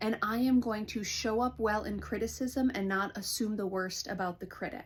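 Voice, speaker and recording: Somewhat breathy, this voice carries an American accent and an animated tone. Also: woman. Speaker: counselor. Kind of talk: vlog monologue. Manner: fast.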